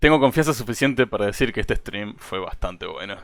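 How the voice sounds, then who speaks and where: The recording is very clean, with a silent background. The voice carries a Spanish accent. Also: man. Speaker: streamer and interviewer. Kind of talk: casual live-stream interview. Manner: halting, many restarts.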